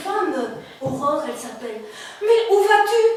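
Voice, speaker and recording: Noticeable background noise under a woman's fairly slow pace. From Belgium. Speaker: storyteller. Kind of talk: live oral storytelling. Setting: live audience event. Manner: burlesque, clownish, playful.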